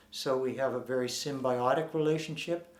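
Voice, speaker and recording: Audible room echo surrounds a man with a fairly high pitch. His intonation stays fairly even. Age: 60s. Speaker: former Scientology member and activist. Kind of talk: interview. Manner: halting.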